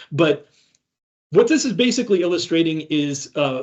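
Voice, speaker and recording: A man talks with a Midwestern US accent. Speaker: cybersecurity ransomware responder, conference speaker. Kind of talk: conference talk. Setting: stage with audience. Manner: halting, many fillers and restarts.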